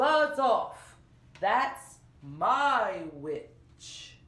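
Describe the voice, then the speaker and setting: A put-on character voice, croaky and growling. It is also shrill, with a high pitch. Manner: rude, brusque.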